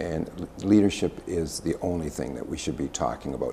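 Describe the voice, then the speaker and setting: With a Canadian accent, a man speaks at a moderate pace in a very deep, low pitch, showing vocal fry and ordinary pitch variation. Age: 60s. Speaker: political candidate, former mayor. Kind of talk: interview.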